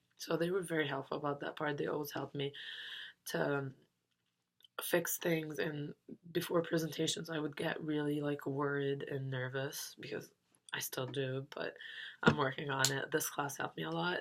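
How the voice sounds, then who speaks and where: A woman speaks at a moderate pace in a very deep, low voice. Her intonation is monotone and flat, with long, frequent pauses. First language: not English. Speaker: university student. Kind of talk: class reflection monologue. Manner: hesitant, many fillers.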